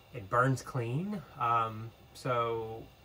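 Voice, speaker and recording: A man speaks over light background noise. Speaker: sailing vlogger. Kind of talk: casual vlog chat. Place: boat. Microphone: phone near.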